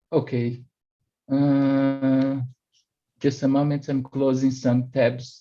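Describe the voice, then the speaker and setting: Long, frequent pauses break up a man's very slow speech. His medium-pitched voice has a dark, mellow tone and a monotone, flat intonation. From Brazil. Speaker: platform engineer. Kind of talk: technical presentation. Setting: video call. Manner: halting, many fillers.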